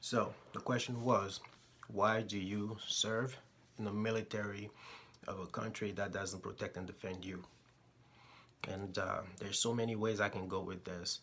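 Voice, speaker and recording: This man speaks at a moderate pace with a fairly low pitch. His intonation is monotone and flat, broken by long, frequent pauses. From Togo. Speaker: military service member, vlogger. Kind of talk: personal opinion vlog talking to camera.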